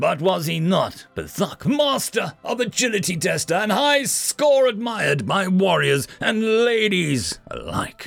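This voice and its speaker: With faint music in the background, a man in a put-on character voice talks at a high pitch and a fairly slow pace, with very wide pitch swings and hardly any pauses. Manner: proud, formal, self-important.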